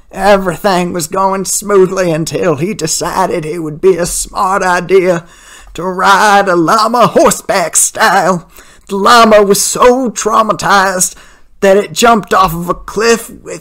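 This is a put-on character voice at middle pitch. The pace is fairly slow. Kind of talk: comic overacting prank call. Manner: rambling, raspy coughing.

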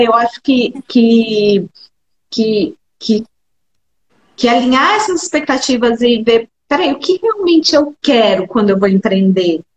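Recorded dry and close with no echo, a woman speaks at a fairly slow pace in a high voice with very wide pitch swings and very even loudness. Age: 40s. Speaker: cognitive behavioral psychologist. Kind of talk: casual chat.

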